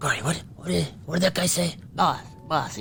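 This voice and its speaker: Over clear background noise, someone performs a put-on character voice at a middle pitch. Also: moderate pace. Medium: actual play. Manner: simple, eager to please.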